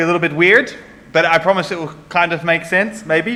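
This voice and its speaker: The speaker has a New Zealand accent. The pace is fairly quick. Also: man. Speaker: conference speaker on security. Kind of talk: conference talk. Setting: stage with audience. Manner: casual, with filler words.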